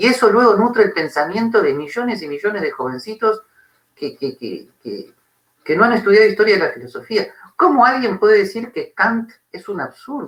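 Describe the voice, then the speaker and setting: With an Argentine accent, a man speaks at a moderate pace in a high pitch, his pitch swinging very widely. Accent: Argentine Spanish (Rioplatense). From Argentina. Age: 60s. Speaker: philosophy professor. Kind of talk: interview conversation. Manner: animated.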